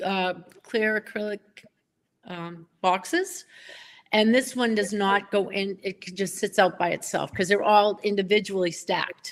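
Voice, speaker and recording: In a Boston accent, a woman speaks at a medium pitch and a fairly slow pace with fairly even intonation. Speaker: pen collector. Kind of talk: casual chat.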